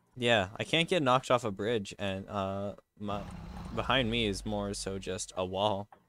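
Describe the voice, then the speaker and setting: A man speaks at a fairly low pitch with ordinary pitch variation. His pace is fairly slow. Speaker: gaming streamer. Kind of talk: casual chat while gaming. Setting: voice call on Discord.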